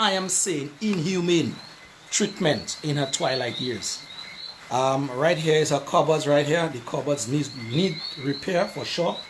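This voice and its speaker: Over noticeable background noise, a man talks at a fairly slow pace in a fairly high voice. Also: ordinary pitch variation. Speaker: community affairs show host. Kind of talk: live video walkthrough talk to camera.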